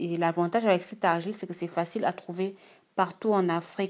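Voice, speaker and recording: Woman with a Gabonese accent at a medium pitch and moderate pace, fairly even intonation, in a very clean recording with a silent background. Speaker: beauty YouTuber. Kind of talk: tutorial. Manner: casual, some hesitations.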